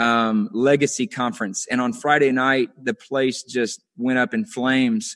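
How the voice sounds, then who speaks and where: An unremarkable speaking voice, a man's medium pitch carries lively intonation at a fairly slow pace, with a dry, close sound with no echo and a quiet background. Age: 30s. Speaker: young minister. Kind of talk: preaching conversation. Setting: video call.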